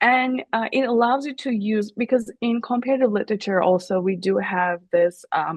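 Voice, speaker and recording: Using a Turkish accent, a woman speaks at a moderate pace with lively intonation. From Turkey. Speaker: professor. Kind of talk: interview. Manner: halting, many fillers.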